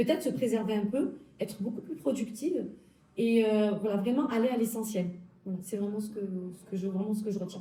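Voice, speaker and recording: Somewhat breathy and dark, mellow in tone, the voice moves at a fairly quick pace with ordinary pitch variation, and audible room echo surrounds it. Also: woman, fairly high pitch for a woman. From southern France, Alpes-de-Haute-Provence. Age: 30s. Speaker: health law graduate. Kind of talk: interview.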